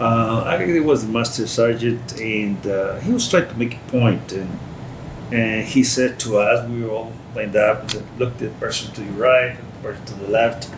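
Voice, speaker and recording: A Spanish accent at a moderate pace, fairly even intonation, big swings in loudness, noticeable background noise and audible room echo. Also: man, medium pitch for a man. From Costa Rica. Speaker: war veteran. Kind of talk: interview. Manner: halting.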